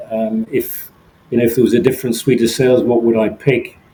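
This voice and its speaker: A man with an English accent. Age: 60s. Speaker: solo ocean sailor. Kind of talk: interview. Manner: halting, frequent repeats and fillers.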